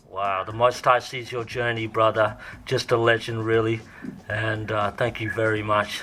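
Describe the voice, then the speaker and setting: His intonation stays monotone and flat. The man talks at moderate speed. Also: medium pitch for a man. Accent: Australian. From Australia (Melbourne). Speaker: radio host. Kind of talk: interview.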